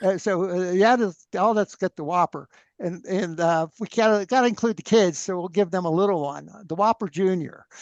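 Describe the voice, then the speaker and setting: Loud and high-pitched, a man's voice comes through dry and close with no echo over a quiet background. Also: ordinary pitch variation, moderate pace. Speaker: free energy researcher. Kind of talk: interview conversation. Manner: animated.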